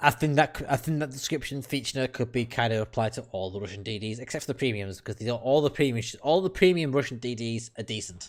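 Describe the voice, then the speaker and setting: Speaking very fast with hardly any pauses, a man with a British accent uses a medium pitch and ordinary pitch variation on a very clean recording with a silent background. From United Kingdom. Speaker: gaming streamer. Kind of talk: casual chat. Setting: live stream. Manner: animated.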